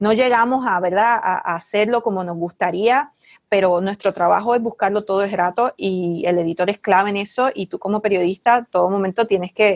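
Recorded with a dry, close sound and no echo, a woman with a Puerto Rican accent talks at a fairly quick pace in a medium pitch with ordinary pitch variation.

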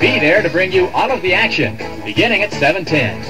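Clear music plays in the background. Over it, a man speaks at a high pitch. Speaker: radio announcer. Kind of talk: radio station promo. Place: studio. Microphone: old recording.

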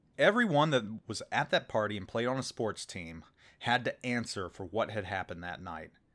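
This is an ordinary speaking voice with an American accent. The pace is moderate. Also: man. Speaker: gaming YouTuber. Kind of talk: storytelling monologue. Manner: casual, conversational.

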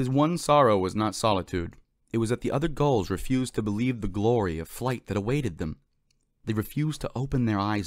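Unforced reading over a quiet backdrop.

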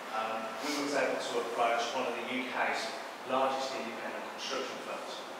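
Loud background noise and audible room echo surround the voice. The pace is moderate. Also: man. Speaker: startup presenter. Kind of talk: pitch. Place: hall. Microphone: camera far.

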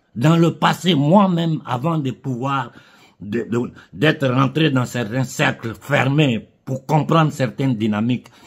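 A man's somewhat breathy voice at a very slow pace, with ordinary pitch variation. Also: quiet background. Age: 50s. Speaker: political commentator. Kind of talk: political monologue. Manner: impassioned. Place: home room. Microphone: phone near.

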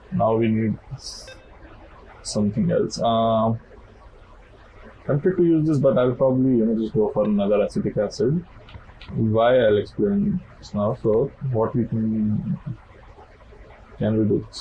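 Mumbling at a fairly slow pace with long, frequent pauses, a man talks with ordinary pitch variation over light background noise. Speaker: game player. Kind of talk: casual gameplay commentary. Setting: low-quality home mic. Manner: mumbling, hesitant.

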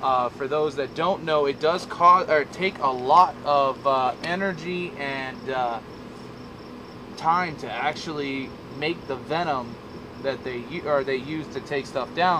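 Over noticeable background noise, a man talks at a very slow pace with ordinary pitch variation. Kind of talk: casual vlog chat. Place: open country.

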